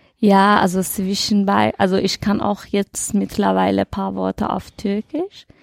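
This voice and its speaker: A woman's fairly slow speech with hardly any pauses, dry and close with no echo. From Iran. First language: Dari/Persian (speaking German). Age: 20s. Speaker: podcast presenter, job training participant. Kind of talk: casual chat.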